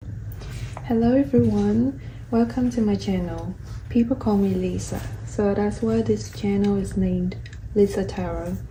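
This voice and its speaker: A woman talks with a Vietnamese accent at a fairly slow pace. Noticeable background noise can be heard. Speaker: tarot reader. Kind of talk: tarot reading.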